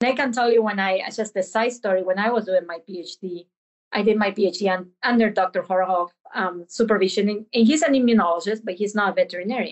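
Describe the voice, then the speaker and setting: The speech moves at a fairly quick pace. Its pitch varies an ordinary amount. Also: woman, medium pitch for a woman. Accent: Spanish. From Argentina. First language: Spanish. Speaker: veterinary professor. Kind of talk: interview.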